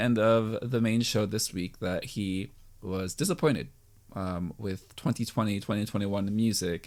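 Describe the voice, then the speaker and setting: Here a man speaks at a medium pitch and a moderate pace in an unremarkable speaking voice. It is a very clean recording with a silent background. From United States. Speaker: podcast host. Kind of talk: casual chat.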